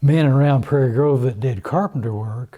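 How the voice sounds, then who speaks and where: A man with an Ozark accent and a dark, mellow tone, at medium pitch with ordinary pitch variation and a moderate pace. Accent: Southern US (Ozark). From US South, northwest Arkansas. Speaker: oral history interviewee. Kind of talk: oral history interview. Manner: halting, with repeated words.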